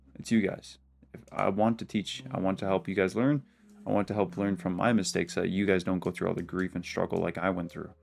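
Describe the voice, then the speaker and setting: Music plays in the background as a man talks very fast in a very deep, low voice, his pitch varying in an ordinary way. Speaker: forex day trader, trading video creator. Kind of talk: weekly trade review to camera. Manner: casual, filler-heavy.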